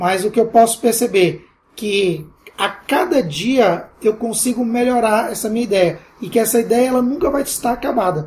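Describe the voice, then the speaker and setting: Moderate pace against noticeable background noise. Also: man. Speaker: entrepreneur and university lecturer. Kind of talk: interview.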